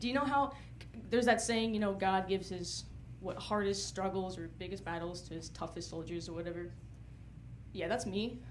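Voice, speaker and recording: Amid audible room echo, a woman with an American accent speaks at a fairly quick pace, broken by long, frequent pauses. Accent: slight, occasional Southern. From North Carolina, US South. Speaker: stand-up comedian. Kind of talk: stand-up.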